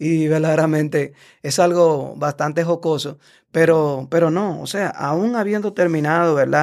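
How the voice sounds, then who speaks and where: A man speaks in a plain, everyday voice at a fairly slow pace with fairly even intonation, on a very clean recording with a silent background. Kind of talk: casual explanatory interview.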